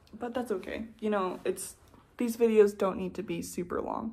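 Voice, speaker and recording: This woman has a relaxed tone with vocal fry at a medium pitch. She talks at a fairly slow pace. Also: long, frequent pauses. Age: 20s. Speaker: knitting vlogger. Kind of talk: casual chat. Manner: relaxed filler-heavy.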